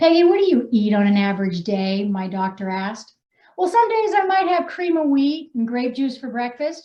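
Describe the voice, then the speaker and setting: Loud and animated, a woman speaks at a moderate pace, her high pitch moving in very wide swings. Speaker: wellness coach and author. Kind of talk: reading aloud own story; casual live chat introducing authors.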